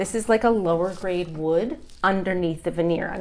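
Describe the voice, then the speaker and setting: A woman with a Canadian accent has a plain, everyday voice. Her pitch is medium and her pace moderate. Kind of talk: demonstrating a home project, conversational.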